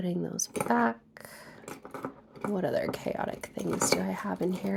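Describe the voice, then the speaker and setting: The speaker is soft-spoken, with a gentle tone and a fairly slow pace. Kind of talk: ASMR ramble to camera about art supplies. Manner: softly spoken, gentle.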